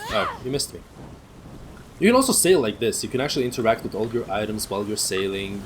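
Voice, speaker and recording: Rushing along at a very fast pace, a man with a non-native accent speaks in a fairly low pitch. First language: not English. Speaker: gaming streamer. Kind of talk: let's play commentary.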